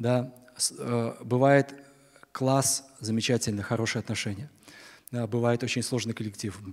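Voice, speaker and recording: Long, frequent pauses break up the speech. The delivery is fairly slow, with monotone, flat intonation. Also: man, medium pitch for a man. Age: 60s. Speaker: preacher. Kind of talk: sermon. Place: church. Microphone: podium.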